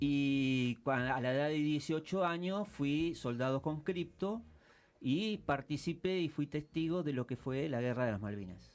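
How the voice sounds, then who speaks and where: The recording is very clean with a silent background. A man speaks fairly slowly with lively intonation. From Argentina, Mar del Plata. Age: 60s. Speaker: war veteran. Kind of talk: interview. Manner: hesitant, many fillers.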